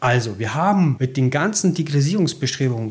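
A somewhat breathy man at a moderate pace, with lively intonation. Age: 40s. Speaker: rail freight manager. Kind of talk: interview. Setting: office at rail yard.

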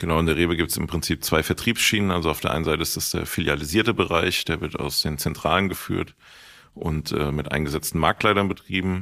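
A man at a very fast pace with fairly even intonation, in a very clean recording with a silent background. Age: 30s. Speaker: supermarket owner. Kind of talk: interview.

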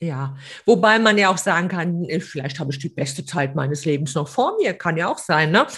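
Nothing disturbs the background. The words come at a moderate pace. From Hesse. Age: 50s. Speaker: podcast co-host. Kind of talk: casual chat.

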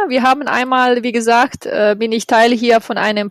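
With a Croatian accent, a woman speaks high-pitched and fairly slowly over noticeable background noise. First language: Croatian (speaking German). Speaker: yoga project organizer. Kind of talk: interview. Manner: halting.

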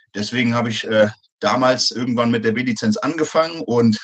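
A man speaks in an ordinary speaking voice at a moderate pace, with medium pitch and fairly even intonation. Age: 30s. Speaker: soldier and personal trainer. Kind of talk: interview.

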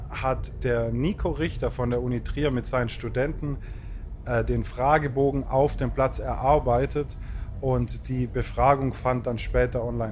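A man is heard with noticeable background noise. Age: 30s. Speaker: festival communications manager. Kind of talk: casual chat. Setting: outdoors.

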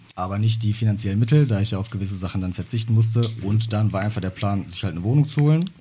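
A man talks at a very fast pace with hardly any pauses, his fairly low voice dark, mellow and somewhat breathy. His pitch shows ordinary variation. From Germany, Bottrop. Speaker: rapper. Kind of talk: interview.

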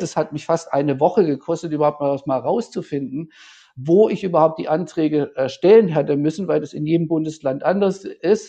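Against a quiet background, a man with a fairly high voice and a dark, mellow tone talks at a moderate pace with ordinary pitch variation. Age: 50s. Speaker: event production manager. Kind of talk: interview. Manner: halting.

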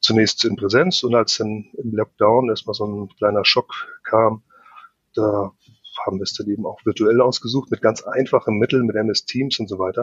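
This is a normal speaking voice, with fairly even intonation and a moderate tempo. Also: man, medium pitch for a man. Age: 50s. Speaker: project manager and process optimizer. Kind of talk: podcast interview.

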